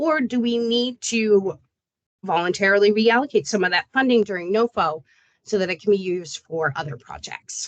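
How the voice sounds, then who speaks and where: A woman speaks at a medium pitch with lively intonation. The sound is dry and close, with no echo. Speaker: state program staff presenting to grantees. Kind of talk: online meeting presentation. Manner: fast.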